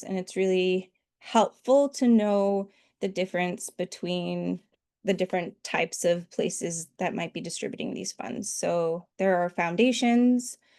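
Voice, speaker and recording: A woman with an American accent has a medium pitch and a dark, mellow tone. The sound is dry and close with no echo, over a quiet background. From US Northeast. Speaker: grant writing trainer. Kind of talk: online workshop presentation. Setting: video call.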